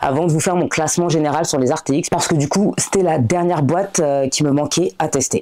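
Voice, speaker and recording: This is a woman with a very deep, low pitch. Her tone is dark and mellow. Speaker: coloring hobby youtuber. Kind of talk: product review vlog. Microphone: new microphone, not yet mastered.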